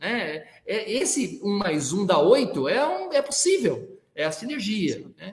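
A man's high voice with very wide pitch swings, at a very slow pace. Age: 60s. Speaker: business executive and sustainability leader. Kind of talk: interview.

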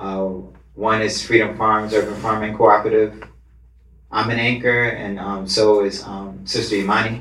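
This man has a plain, everyday voice with a fairly low pitch. He speaks at a moderate pace with fairly even intonation. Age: 30s. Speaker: cooperative founder and activist. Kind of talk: panel discussion. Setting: live recording in a venue.

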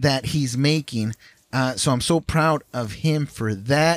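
A man at a fairly slow pace, animated and enthusiastic, with lively intonation in a dry, close sound with no echo. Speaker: podcast co-host. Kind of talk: casual chat. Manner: animated, enthusiastic.

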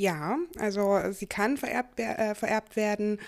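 A woman talks fairly slowly on a very clean recording where the background is silent. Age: 20s. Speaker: person with a chronic illness. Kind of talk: interview. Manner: hesitant, many fillers.

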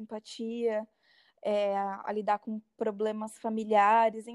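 A woman's fairly high voice at a very slow pace, dry and close with no echo. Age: 20s. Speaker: psychology student. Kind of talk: casual chat.

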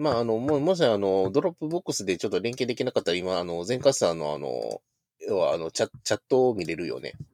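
A man at a very fast pace, medium in pitch with very wide pitch swings, dry and close with no echo. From Shodoshima, Kagawa / Osaka, western Japan. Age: 30s. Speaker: PhD-holder podcast guest. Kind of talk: casual chat.

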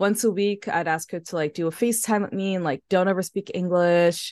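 In a New York accent, a woman speaks at a moderate pace against a quiet background, the sound dry and close with no echo. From New York City, Harlem. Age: 30s. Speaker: floral designer and artist. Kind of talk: casual interview chat.

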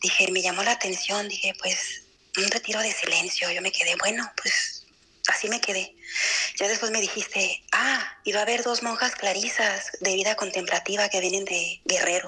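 A woman's voice at a moderate pace, very even in loudness, over noticeable background noise. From Guadalajara, Mexico. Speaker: cloistered nun. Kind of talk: testimony. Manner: halting.

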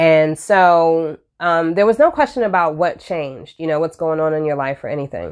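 A woman speaks in a very deep, low voice at a fairly quick pace, with ordinary pitch variation. Behind her the background is quiet. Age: 30s. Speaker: podcast host and nurse. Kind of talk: casual monologue. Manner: hesitant, many fillers.

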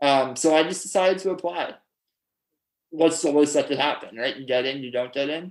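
This man has a plain, everyday voice and speaks at a fairly quick pace with a Canadian accent. His pitch is fairly high, with ordinary variation. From Ontario, Canada (Pickering). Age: 20s. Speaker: law student, power hockey player. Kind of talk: casual interview.

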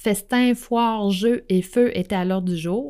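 A woman speaks with a Quebec accent in a dark, mellow tone. The recording is very clean, with a silent background. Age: 40s. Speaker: astrology podcaster. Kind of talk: solo podcast monologue. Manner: hesitant, many fillers.

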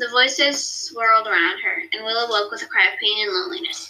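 Delivered in an unforced reading voice, the speech has ordinary pitch variation.

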